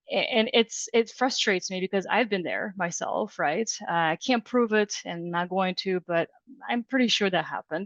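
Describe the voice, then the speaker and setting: A woman speaks at a medium pitch with a Russian accent, at a moderate pace. Her pitch varies in an ordinary way, and the sound is dry and close with no echo. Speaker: HR director. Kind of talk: podcast interview. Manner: hesitant, many fillers.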